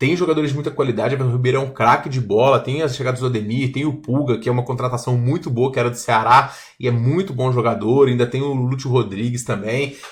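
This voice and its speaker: At a very fast pace, a man speaks in a medium, somewhat breathy voice. His intonation stays fairly even. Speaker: sports betting tipster. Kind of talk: tutorial-style betting analysis. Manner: casual.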